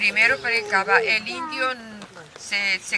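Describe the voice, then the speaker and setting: Over noticeable background noise, a woman with a fairly high pitch talks at a very slow pace. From Argentina, San Luis (Conlara valley). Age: 80s+. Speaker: elder storyteller. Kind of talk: public talk. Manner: halting.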